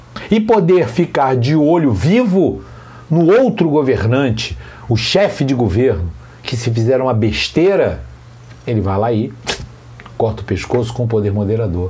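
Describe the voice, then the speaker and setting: With an animated tone and very wide pitch swings around a medium pitch, a man talks at a fairly slow pace with long, frequent pauses, audible room echo and noticeable background noise. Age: 60s. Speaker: teacher and monarchist commentator. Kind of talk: monologue rant.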